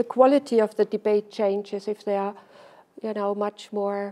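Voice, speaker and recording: At a moderate pace, a woman with a strong German accent speaks in a fairly high pitch. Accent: heavy German. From Germany. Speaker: social scientist, invited lecturer. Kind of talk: Q&A after lecture. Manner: halting, many repetitions.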